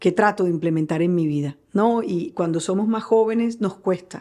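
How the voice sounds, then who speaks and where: A woman speaks at a medium pitch and a moderate pace in a dark, mellow tone. Her pitch varies in an ordinary way against a quiet background. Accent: Barranquilla. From Colombia, Barranquilla (Caribbean coast). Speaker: journalist. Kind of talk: interview.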